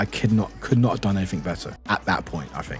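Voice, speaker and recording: A British accent with ordinary pitch variation, music playing in the background. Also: man. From England, Southampton. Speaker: streamer. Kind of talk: casual chat. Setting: live stream. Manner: halting.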